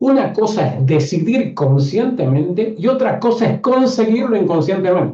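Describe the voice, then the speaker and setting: A man's dark, mellow tone swings very widely in pitch. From northern Argentina, Catamarca. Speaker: online course teacher, systemic coach. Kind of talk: live online class.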